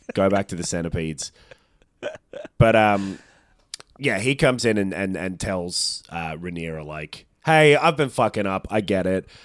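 Speaking in an Australian accent, a man talks at a moderate pace with lively intonation and long, frequent pauses. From Australia (Melbourne). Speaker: podcast co-host. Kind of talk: casual chat.

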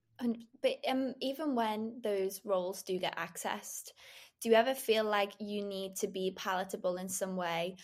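A woman talks in a normal speaking voice at medium pitch with fairly even intonation. The recording is very clean with a silent background. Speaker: podcast host. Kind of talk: casual interview chat.

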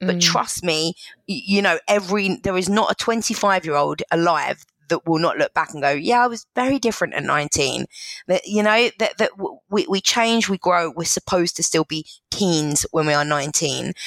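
A woman speaks in a plain, everyday voice at medium pitch and a moderate pace. Her intonation is lively, and the sound is dry and close with no echo. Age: 40s. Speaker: relationship blogger and author, former social worker. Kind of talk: casual interview chat.

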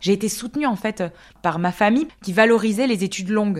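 The recording is very clean, with a silent background. A woman speaks at a fairly quick pace. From France, Alsace. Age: 30s. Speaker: epidemiologist. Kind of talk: interview. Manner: halting, many fillers and repetitions.

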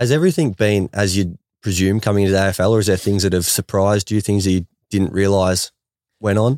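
With an Australian accent, a man talks at a very fast pace and a fairly low pitch, keeping fairly even intonation and very even loudness. The recording is very clean, with a silent background and a dry, close sound with no echo. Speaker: AFL player and podcast host. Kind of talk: casual interview chat.

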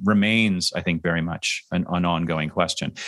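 Against a quiet background, a man talks in a very deep, low pitch with a bright, sharp tone and monotone, flat intonation. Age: 50s. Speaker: leadership consultant. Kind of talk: casual chat.

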